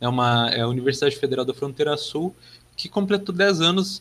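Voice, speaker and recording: This voice belongs to a man. Its tone is bright and sharp. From southern Brazil, Passo Fundo (Rio Grande do Sul). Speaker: geography master's student. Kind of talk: podcast interview. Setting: remote recording.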